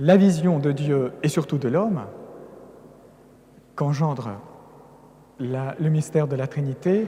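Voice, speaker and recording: Speaking very slowly with long, frequent pauses, a man with a Russian accent has a fairly high, somewhat breathy voice with a dark, mellow tone and ordinary pitch variation. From Russia, Caucasus. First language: Russian (speaking French). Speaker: priest, religious lecturer. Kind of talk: lecture. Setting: cathedral with audience.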